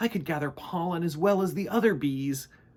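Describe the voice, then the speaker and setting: A man's squeaky, put-on character voice, high in pitch. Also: fairly quick pace, ordinary pitch variation. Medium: read story. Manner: timid, anxious.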